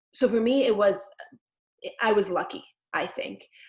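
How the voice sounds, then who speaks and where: Moderately paced speech from a woman. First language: Yiddish. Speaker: actress and former ultra-Orthodox community member. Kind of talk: panel discussion.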